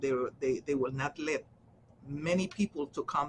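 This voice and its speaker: A somewhat breathy woman with a Central American accent, very deep, low pitch and a moderate pace. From Honduras. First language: Garifuna. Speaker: social worker. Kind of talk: interview answer.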